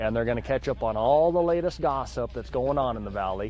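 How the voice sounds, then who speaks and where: Music plays in the background. A man with an American accent talks at a fairly quick pace. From Montana, USA. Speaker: auctioneer. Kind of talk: casual interview answer.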